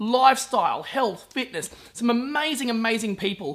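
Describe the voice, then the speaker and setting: Enthusiastic in tone, a man with an Australian accent speaks at a fairly quick pace, his extremely high voice full of lively intonation. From Brisbane, Australia. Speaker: podcast host, entrepreneur. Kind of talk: video intro and interview.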